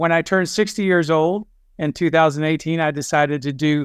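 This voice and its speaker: A man speaks in a normal speaking voice at a moderate pace, fairly high in pitch with ordinary pitch variation. The recording is very clean, with a silent background. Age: 60s. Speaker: endurance athlete. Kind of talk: podcast interview.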